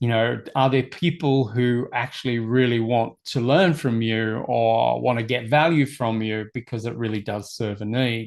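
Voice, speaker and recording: A man talks in a plain, everyday voice at a medium pitch, with fairly even intonation and a moderate pace. There are hardly any pauses, and the background is quiet. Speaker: personal development coach. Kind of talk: webinar presentation. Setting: live online stream.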